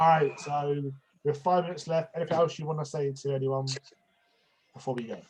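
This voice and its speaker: Somewhat breathy speech in an English accent rushes at a very fast pace with monotone, flat intonation. Long, frequent pauses break it up. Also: man, fairly high pitch for a man. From England. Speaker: wrestling predictions host. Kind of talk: casual chat.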